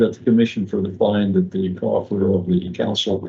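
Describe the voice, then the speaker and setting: Somewhat breathy and very deep, a man's voice runs at a fairly quick pace with monotone, flat intonation. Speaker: ethics commissioner. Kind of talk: formal motion at hearing. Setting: commission hearing room. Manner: soft-spoken.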